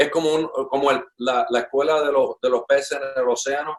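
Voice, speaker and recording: Speaking at a moderate pace, a man has an ordinary speaking voice, a fairly high pitch and fairly even intonation. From Puerto Rico (Ponce family), born in Cuba. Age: 60s. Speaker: drummer. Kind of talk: interview conversation. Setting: at his home.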